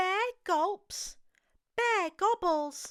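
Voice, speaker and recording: A woman's put-on character voice, squeaky and extremely high-pitched, at a very slow pace, with a dry, close sound and no echo. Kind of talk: bedtime story. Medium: read story.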